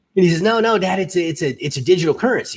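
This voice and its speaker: The speech comes at a very fast pace with lively intonation. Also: man. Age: 60s. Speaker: podcast host. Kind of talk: casual chat.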